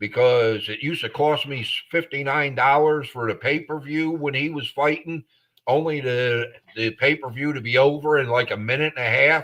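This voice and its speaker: A man with an American accent has a plain, everyday voice at a fairly high pitch. He speaks at a moderate pace with fairly even intonation. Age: 60s. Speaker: sports podcast co-host. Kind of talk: casual chat. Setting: live podcast.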